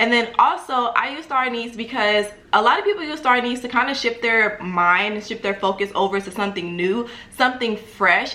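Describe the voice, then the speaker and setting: Amid noticeable background noise, a woman with an animated tone speaks at a moderate pace in a fairly high pitch with ordinary pitch variation. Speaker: spiritual lifestyle YouTuber. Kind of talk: tutorial. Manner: casual, animated.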